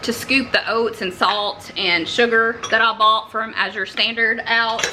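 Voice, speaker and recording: Against noticeable background noise, someone with a Southern US accent talks at a very slow pace. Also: woman. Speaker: homesteading cooking vlogger. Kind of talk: cooking tutorial. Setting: home kitchen. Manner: casual, halting with fillers.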